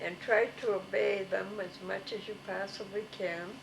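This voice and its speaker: A woman's monotone, flat intonation is heard with noticeable background noise behind it. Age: 80s+. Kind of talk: interview answer.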